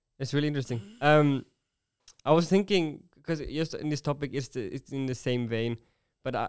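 Pitch varies in an ordinary way as the speech keeps to a moderate pace. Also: man. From Sweden. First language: Swedish. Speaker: podcast host. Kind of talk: casual chat.

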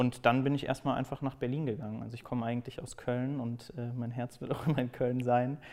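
A man at medium pitch, talking at a fairly quick pace with hardly any pauses and a monotone, flat intonation. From Germany, Cologne. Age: 20s. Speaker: podcast editorial team lead. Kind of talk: interview.

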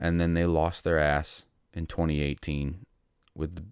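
A man's very deep, low voice at a fairly slow pace, on a very clean recording with a silent background. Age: 30s. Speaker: political podcast host. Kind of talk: solo political commentary. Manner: hesitant with frequent fillers.

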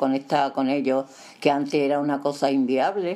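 The speaker is a woman. Her voice sits very deep and low. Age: old. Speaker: grandmother. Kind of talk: casual chat.

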